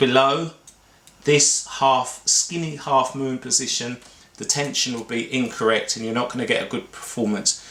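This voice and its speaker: With an English accent, a man speaks at a moderate pace and medium pitch. His pitch varies in an ordinary way over noticeable background noise. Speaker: barber and clipper repair expert. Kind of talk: tutorial. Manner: casual, with fillers.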